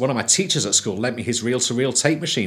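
The speaker is a man. He talks in a Manchester accent. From northern England, Manchester. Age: 40s. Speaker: sound engineer and musician. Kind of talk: documentary interview. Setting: recording studio. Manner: halting.

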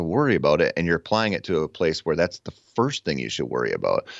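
A man talks with vocal fry. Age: 30s. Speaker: hunting podcaster and author. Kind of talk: casual interview chat.

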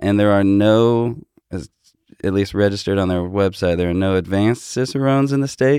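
This dark, mellow voice moves at a fairly quick pace with ordinary pitch variation. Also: man, fairly low pitch for a man. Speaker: beer and bourbon enthusiast, new tasting host. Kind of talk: casual chat.

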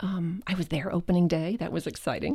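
A woman with a fairly low, dark, mellow voice speaks at a moderate pace in an American accent, on a very clean recording with a silent background. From New Jersey. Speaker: voice artist. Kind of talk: interview.

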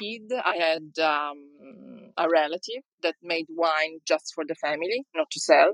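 Very slowly and with hardly any pauses, a woman speaks in an Italian accent, recorded with a dry, close sound with no echo. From Sicily, Italy. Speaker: winemaker. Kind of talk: interview. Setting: online audio chat room.

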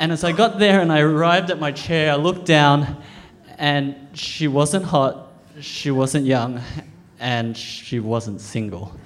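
Spoken in an Australian accent at a fairly slow pace, the voice has lively intonation, audible room echo and noticeable background noise. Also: man, fairly high pitch for a man. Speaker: storyteller. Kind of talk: live storytelling. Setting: stage with audience.

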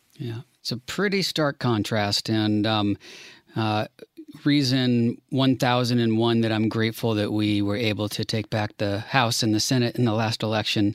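A man with an American accent and an unremarkable speaking voice talks at a medium pitch and a moderate pace with fairly even intonation. The sound is dry and close with no echo, in a very clean recording with a silent background. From Washington DC. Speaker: podcast co-host. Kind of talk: casual chat.

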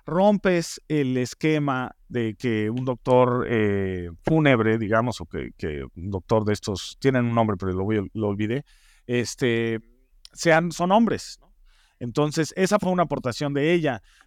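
A man speaks at a fairly slow pace with a Mexican accent, his medium-pitched voice making very wide pitch swings. The sound is dry and close with no echo, over a quiet background. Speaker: TV producer and head writer. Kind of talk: interview. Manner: halting with frequent fillers.

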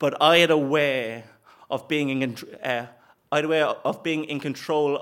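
A man with an Irish accent and a fairly high pitch is heard in a very clean recording with a silent background. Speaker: comedian. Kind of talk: live storytelling. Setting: stage with audience.

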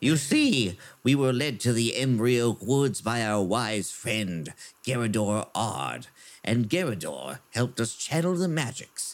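A put-on character voice moves at a fairly slow pace. Its intonation is lively. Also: man, medium pitch for a man. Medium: actual play.

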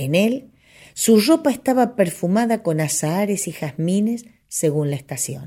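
A somewhat breathy voice with a dark, mellow tone swings very widely in pitch at a fairly slow pace, on a very clean recording with a silent background. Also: woman, medium pitch for a woman. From Argentina. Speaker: radio host and folk singer. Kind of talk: reading aloud.

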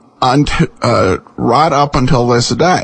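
A man with an American accent can be heard against noticeable background noise. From Boise, Idaho, US. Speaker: host of an old-time radio podcast. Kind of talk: casual podcast hosting. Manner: relaxed, conversational, with frequent filler words.

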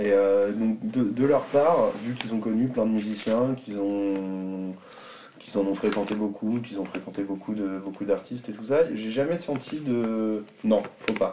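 There is noticeable background noise behind a man with a fairly low voice. He speaks at a fairly slow pace with ordinary pitch variation. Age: 20s. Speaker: DJ and music teacher. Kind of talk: casual interview. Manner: hesitant, many fillers.

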